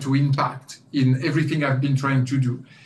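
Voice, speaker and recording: A man with a French accent, fairly high-pitched and somewhat breathy, in a monotone, flat delivery with audible room echo. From France. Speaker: company CEO. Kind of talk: guest lecture interview. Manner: hesitant, many fillers.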